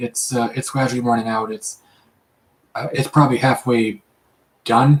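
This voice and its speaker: This is a man's voice. It sounds somewhat breathy. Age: 30s. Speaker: live streamer. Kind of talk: casual chat. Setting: live stream at home. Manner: halting.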